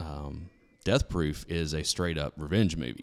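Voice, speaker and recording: The recording is very clean, with a silent background. A man speaks with a very deep, low pitch and vocal fry. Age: 40s. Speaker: podcast host. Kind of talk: casual chat.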